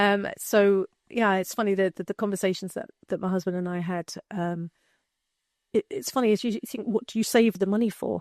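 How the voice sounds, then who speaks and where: With an English accent, a woman speaks at a moderate pace and medium pitch, her intonation fairly even and the sound dry and close with no echo. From England. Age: 50s. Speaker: retired marketer and cancer awareness advocate. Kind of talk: casual interview chat. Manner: halting, with many repetitions.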